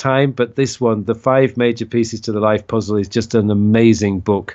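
The pace of this man's talking is moderate. He speaks at a medium pitch. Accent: Yorkshire. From northern England (Leeds). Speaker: productivity coach. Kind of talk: interview.

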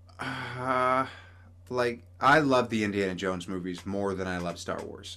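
A man with a fairly low pitch and a bright, sharp tone speaks fairly slowly with ordinary pitch variation. Room echo is audible. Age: 30s. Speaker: podcast host and cosplayer. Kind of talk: casual chat.

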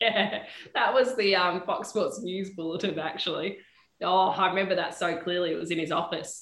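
In an Australian accent, a woman of medium pitch talks at a moderate pace with fairly even intonation, and the room echo is audible. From Perth, Western Australia. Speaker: sports TV presenter and reporter. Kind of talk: casual interview chat. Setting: studio.

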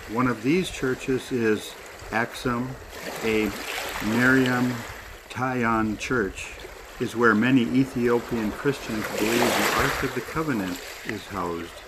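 Over noticeable background noise, a man speaks at a very slow pace with long, frequent pauses, using a medium pitch and ordinary pitch variation. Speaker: prayer leader. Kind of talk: fervent prayer. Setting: outdoors by a lake. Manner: pleading, repetitive.

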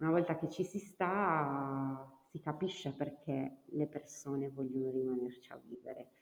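Very deep and low for a woman, her voice moves at a fairly slow pace with ordinary pitch variation. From Cagliari, Sardinia. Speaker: rural tourism network organizer. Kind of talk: casual interview chat.

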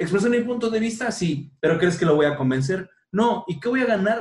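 His intonation is lively throughout. The speaker is a man with a high pitch. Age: 30s. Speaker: podcast host. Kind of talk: casual chat. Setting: at home.

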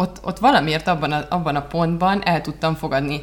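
At a moderate pace, the pitch varies in an ordinary way. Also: woman. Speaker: marketing consultant and podcast co-host. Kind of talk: casual chat. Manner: halting.

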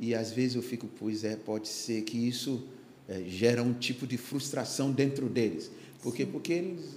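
The speech moves at a moderate pace with ordinary pitch variation, and the room echo is audible. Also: man, medium pitch for a man. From Ghana, Accra. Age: 60s. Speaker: pastor. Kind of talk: casual chat. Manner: halting.

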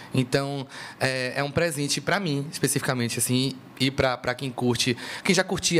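Speaking in a plain, everyday voice, a man holds a fairly high pitch with fairly even intonation. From Brazil, Salvador (Bahia). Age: young. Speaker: singer. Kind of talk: casual chat.

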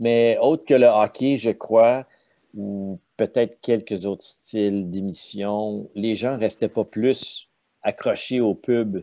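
Heard against a quiet background, a man speaks with a Quebec accent. His voice sits at medium pitch with a dark, mellow tone. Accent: Québécois French. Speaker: sales consultant, former media sales executive. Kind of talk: casual interview.

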